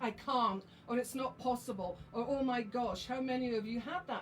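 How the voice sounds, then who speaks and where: Against noticeable background noise, a woman with a fairly high pitch speaks at a fairly quick pace. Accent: Scottish. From Scotland, Highlands. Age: 60s. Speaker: psychic medium and oracle deck author. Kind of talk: live stream chat.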